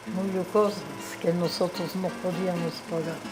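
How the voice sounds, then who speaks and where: A woman talks in a medium-pitched, flat monotone. Audible room echo and noticeable background noise surround her voice. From Czechia, Prague. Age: 80s+. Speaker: interviewee, immigrant. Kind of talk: interview, reminiscence.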